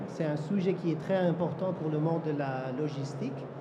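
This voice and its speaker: A man speaks fairly slowly at a fairly high pitch with ordinary pitch variation. Noticeable background noise and audible room echo surround him. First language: not French (speaking French). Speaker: cybersecurity director. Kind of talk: panel discussion. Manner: halting in French.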